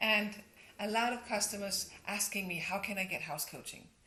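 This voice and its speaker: A woman with a Danish accent, fairly high-pitched, at a moderate pace. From Denmark. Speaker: interior designer and coach. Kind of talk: tutorial. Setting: at home.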